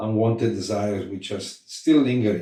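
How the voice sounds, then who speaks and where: A man speaks with a dark, mellow, somewhat breathy tone. His pitch is fairly low and his pace moderate. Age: 70s. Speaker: spiritual practitioner recounting memories. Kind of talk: interview reminiscence. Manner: halting.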